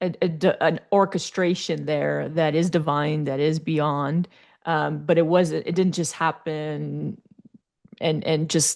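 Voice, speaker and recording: A woman speaks very slowly in a French Canadian accent, her pitch very deep and low. Her intonation stays flat and monotone. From Quebec, Canada. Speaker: life coach and speaker. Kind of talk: interview chat.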